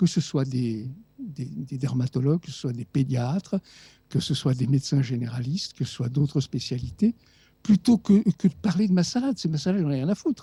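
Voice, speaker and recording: A man speaks at a moderate pace and fairly high pitch with lively intonation. His tone is dark and mellow, and somewhat breathy. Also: dry, close sound with no echo. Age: 70s. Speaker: doctor and author. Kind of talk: radio interview. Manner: animated.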